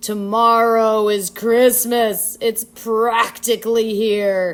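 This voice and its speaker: A woman's put-on character voice, growling and fairly high-pitched, monotone and flat, at a very slow pace. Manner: snarling, sneering.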